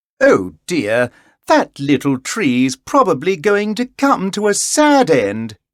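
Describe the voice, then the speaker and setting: A man puts on a character voice, high-pitched with very wide pitch swings, at a fairly slow pace. The recording is very clean, with a silent background. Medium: read story.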